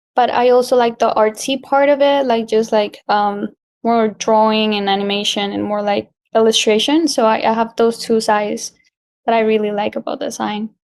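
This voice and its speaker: A woman speaks at a fairly high pitch with a Spanish accent. Her intonation is fairly even. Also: moderate pace. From Colombia. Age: 20s. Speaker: graphic designer. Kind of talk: interview.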